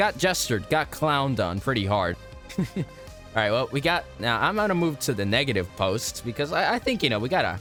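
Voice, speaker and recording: A man's medium-pitched voice with very wide pitch swings at a fairly quick pace, music in the background. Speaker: video game YouTuber. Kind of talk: casual gaming commentary.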